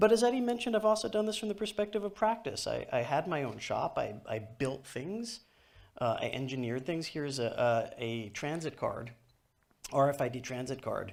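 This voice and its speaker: This man talks at a fairly quick clip with a New York accent, his fairly high voice swinging very widely in pitch. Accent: New York American. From US, New York. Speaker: author and technology speaker. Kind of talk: conference keynote. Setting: stage with audience. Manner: fast.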